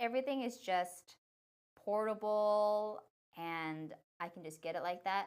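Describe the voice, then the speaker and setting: Here is a woman with an American accent. Her intonation is lively. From San Francisco Bay Area, US. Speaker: tech reviewer and livestream host. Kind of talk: live product demo stream. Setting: livestream. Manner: casual, chatty.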